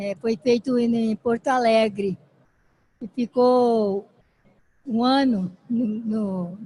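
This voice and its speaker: A woman's fairly high, somewhat breathy voice with a dark, mellow tone, at a very slow pace with long, frequent pauses and fairly even intonation. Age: 80s+. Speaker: great-grandmother and active senior. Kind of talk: conference talk. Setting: stage with audience. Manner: halting.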